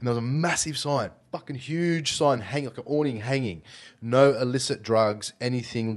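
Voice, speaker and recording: Against a quiet background, a man with an Australian accent speaks at a moderate pace with ordinary pitch variation. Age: 30s. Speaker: podcast host. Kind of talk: casual chat. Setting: studio.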